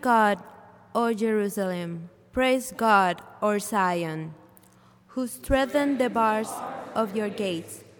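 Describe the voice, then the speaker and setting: Against noticeable background noise, a woman speaks very slowly at a fairly high pitch with ordinary pitch variation. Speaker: scripture reader. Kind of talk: reading aloud. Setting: church.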